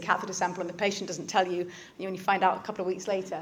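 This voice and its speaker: Talking at a very fast pace, a woman holds a medium pitch while room echo is audible. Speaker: doctor. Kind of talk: lecture.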